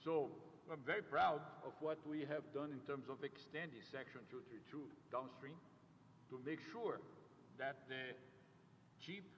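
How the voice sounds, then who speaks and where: With a South American accent, a man talks at a fairly slow pace and a fairly high pitch, with fairly even intonation and long, frequent pauses. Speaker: company CEO. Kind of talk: ceremony speech. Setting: ribbon-cutting ceremony with audience. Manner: halting, many fillers.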